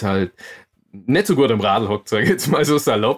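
Speaking fairly quickly, a man with a plain, everyday voice stays at a medium pitch. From Bavaria, Augsburg. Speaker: mountain biker and adventurer. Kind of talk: interview.

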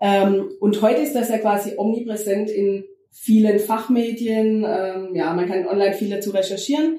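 With a plain, everyday voice, a woman speaks at a moderate pace, her fairly high pitch showing ordinary variation. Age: 30s. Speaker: podcast host. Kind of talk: casual interview chat.

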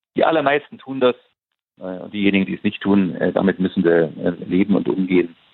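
A man's fairly low voice with lively intonation, a fairly quick pace, and long, frequent pauses. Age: 60s. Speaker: football association president. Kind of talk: interview. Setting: phone call.

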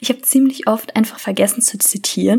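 A woman with a normal speaking voice at a fairly quick pace. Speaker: true crime podcaster. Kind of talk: true crime storytelling.

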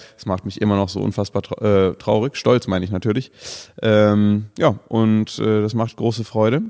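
A man talks at a moderate pace with a fairly low pitch and a dark, mellow tone. His intonation stays fairly even on a very clean recording with a silent background. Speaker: podcast co-host and food video creator. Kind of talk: casual chat. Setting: studio.

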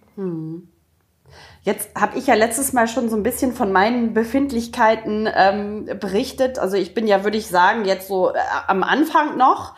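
A woman's fairly high, somewhat breathy voice with ordinary pitch variation. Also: moderate pace. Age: 40s. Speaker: podcast co-host. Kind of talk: casual chat.

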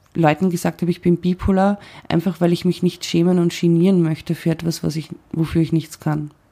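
Over a silent background in a very clean recording, a woman with a fairly low pitch speaks at a moderate pace in a dark, mellow tone with monotone, flat intonation. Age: 40s. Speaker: podcaster with bipolar disorder. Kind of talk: interview.

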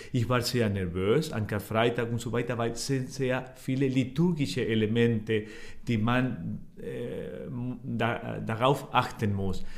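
A man with a Spanish accent at a very slow pace, medium pitch and ordinary pitch variation, with audible room echo and noticeable background noise. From Argentina. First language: Spanish (speaking German). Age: 40s. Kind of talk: interview. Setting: office. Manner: halting.

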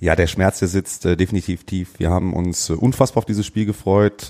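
Very fast and monotone, a man talks with a very deep, low pitch and a dark, mellow tone. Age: 30s. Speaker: amateur footballer. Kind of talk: casual chat.

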